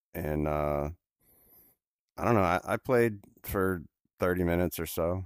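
A man with a very deep, low pitch speaks at a moderate pace. He shows ordinary pitch variation and takes long, frequent pauses. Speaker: podcast host, VR gaming. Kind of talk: casual chat, podcast. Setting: remote recording with co-host. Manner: joking, bantering.

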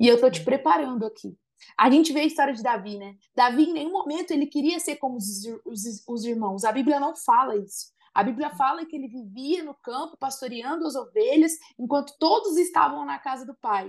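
Speaking at a fairly quick pace, a woman uses a high pitch with very wide pitch swings. Her loudness also swings a great deal. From Brazil, Viradouro (São Paulo state). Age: 30s. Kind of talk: casual chat.

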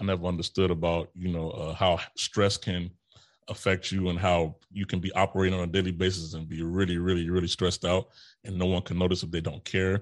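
The man's pitch is very deep and low, set against a quiet background. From Chicago, US Midwest. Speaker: military veteran and podcaster. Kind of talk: casual interview.

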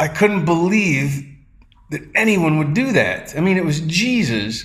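Lively intonation marks a man's fairly high voice. Audible room echo surrounds it. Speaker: performance poet. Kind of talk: casual interview chat. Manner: fast, with stumbles and repeats.

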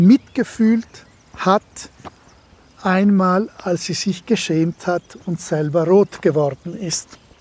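Over noticeable background noise, a man talks very slowly in a high pitch with lively intonation. The sound is dry and close, with no echo. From Ladin region, Dolomites. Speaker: philologist. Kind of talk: interview explanation.

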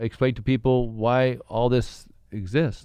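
A man speaks in an ordinary speaking voice with fairly even intonation. The sound is dry and close with no echo, and the background is quiet. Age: 40s. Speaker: author in recovery. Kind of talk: casual chat.

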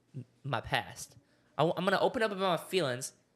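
A man speaks with an American accent. His pace is fairly quick. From Oklahoma, US. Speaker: podcast co-host. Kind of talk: casual solo chat to camera. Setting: studio with cameras. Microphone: new microphone stand.

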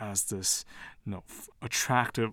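Recorded very cleanly against a silent background, a man with an American accent has an unremarkable speaking voice at a medium pitch with fairly even intonation. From Taiwan and the US. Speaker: professor. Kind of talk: interview.

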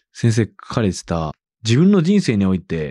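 Dark and mellow in tone, a man's voice comes through. The sound is dry and close with no echo, over a quiet background. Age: 30s. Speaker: radio host and rapper. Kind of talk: interview.

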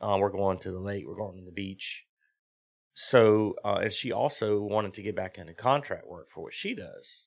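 In a very clean recording with a silent background, a man with a Southern US accent speaks at a moderate pace, his loudness swinging widely. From US South, southern Virginia. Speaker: drift mechanic and driver. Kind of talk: casual chat.

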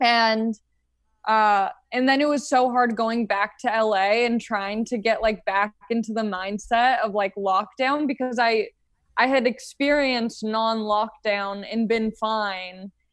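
With a plain, everyday voice, a woman speaks at a fairly slow pace over a quiet background, her fairly high pitch holding fairly even intonation and very even loudness. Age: 20s. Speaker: stand-up comedian. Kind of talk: casual chat.

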